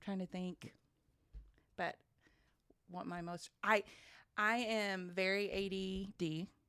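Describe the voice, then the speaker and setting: A woman talks at a very slow pace in a bright, sharp tone. Her intonation is monotone and flat, with long, frequent pauses. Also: medium pitch for a woman. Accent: American. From southwest Oklahoma. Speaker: teacher and mother sharing testimony. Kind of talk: testimony. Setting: studio.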